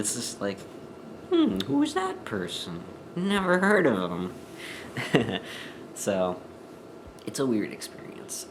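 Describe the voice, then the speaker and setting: A man speaks at a very slow pace with long, frequent pauses. Audible room echo and noticeable background noise surround him. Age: 20s. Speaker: vlogger. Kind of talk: personal vlog. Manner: hesitant, many fillers.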